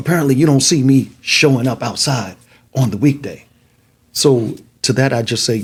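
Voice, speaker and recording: A man with vocal fry and a medium pitch speaks at a moderate pace with ordinary pitch variation, leaving long, frequent pauses. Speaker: city council candidate. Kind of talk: casual interview.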